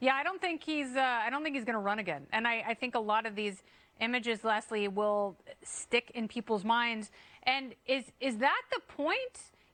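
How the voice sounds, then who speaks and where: A woman with an unremarkable speaking voice, fairly high pitch, lively intonation and a moderate pace. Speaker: TV talk show host. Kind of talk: TV news commentary hosting. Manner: sarcastic, wry.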